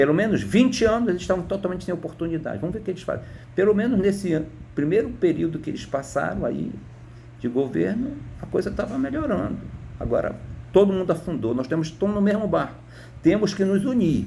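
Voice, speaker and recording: Talking at a very fast pace, a man with a high pitch uses lively intonation, and audible room echo surrounds his voice. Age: 60s. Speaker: retired teacher. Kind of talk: political opinion monologue. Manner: halting, repeats words.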